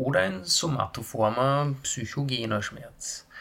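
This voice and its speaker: A man speaks very slowly in a Styrian accent, his pitch fairly high. Noticeable background noise runs underneath. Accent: Austrian German, Styrian. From Austria, Graz (Styria). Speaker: nurse and pain management lecturer. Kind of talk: lecture. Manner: formal.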